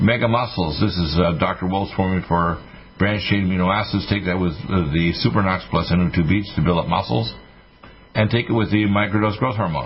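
A man's very deep, low voice with ordinary pitch variation and very even loudness, at a fairly quick pace, amid noticeable background noise. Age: 60s. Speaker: radio health show host and physician. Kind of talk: radio talk and product pitch. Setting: studio.

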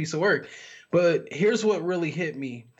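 A man with an American accent, an ordinary speaking voice, fairly even intonation and a moderate pace. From Miami, Florida, military bases. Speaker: minister and author. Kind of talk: casual chat.

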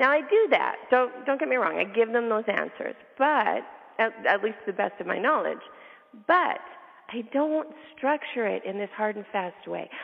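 Noticeable background noise sits behind a woman's fairly high voice. She talks at a moderate pace with lively intonation. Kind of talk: interview conversation.

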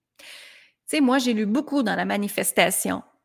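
Delivered at a moderate pace, it is a plain, everyday voice with ordinary pitch variation. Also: woman. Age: 40s. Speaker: life coach. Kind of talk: motivational monologue.

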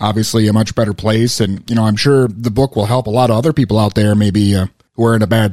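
Someone with an American accent speaks at a very fast pace, keeping the intonation fairly even. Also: man. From Minnesota. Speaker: radio host. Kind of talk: radio DJ patter, a mock-serious show intro, then friendly interview questions. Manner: bantering, jokey.

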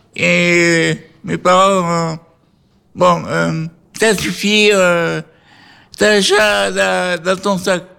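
A man speaks at a very slow pace with long, frequent pauses. The recording is very clean, with a silent background. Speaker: care home resident co-host. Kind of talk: casual chat; storytelling. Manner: stutter; halting.

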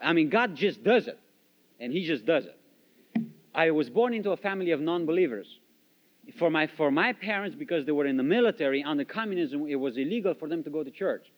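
With a Romanian accent, a man talks very fast in a fairly high voice with lively intonation. His speech has long, frequent pauses. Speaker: missionary. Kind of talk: testimony. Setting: church.

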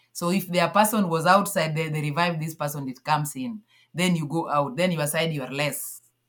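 A woman's very deep, low voice, somewhat breathy, at a fairly quick pace with ordinary pitch variation. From Kenya, Nyanza. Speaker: athlete and sports federation founder. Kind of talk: interview.

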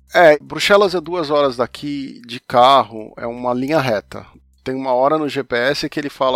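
In a very clean recording with a silent background and a dry, close sound with no echo, a man with an unremarkable speaking voice talks at a fairly slow pace, his pitch fairly high and its variation ordinary. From Brazil, São Paulo. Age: 50s. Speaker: comics journalist and podcaster. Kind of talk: casual interview conversation.

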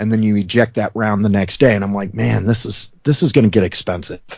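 A man talks in an ordinary speaking voice. His pitch is fairly low and his intonation fairly even. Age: 40s. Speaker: firearms enthusiast and student. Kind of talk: casual interview.

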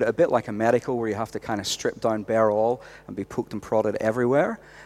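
A man in a Northern Irish accent, medium in pitch, at a fairly quick pace. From Northern Ireland. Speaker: youth pastor. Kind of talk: casual interview.

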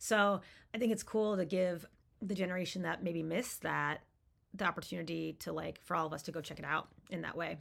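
A woman with an American accent, fairly low in pitch with vocal fry, at a fairly quick pace, in a very clean recording against a silent background. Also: ordinary pitch variation. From Maine, US. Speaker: snowboard magazine editor and commentator. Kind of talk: casual interview. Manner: halting, many fillers.

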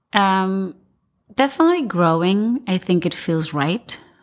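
Lively intonation marks this speaker with an Argentine accent, on a very clean recording with a silent background. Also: woman. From Argentina. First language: Spanish. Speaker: architect and firm owner. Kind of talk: roundtable discussion.

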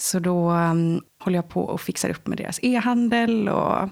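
A woman speaks at a medium pitch. She keeps a moderate pace with ordinary pitch variation. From Swedish west coast, Lysekil. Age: 20s. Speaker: interview guest sharing life story. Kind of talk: personal testimony interview. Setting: indoor room with host.

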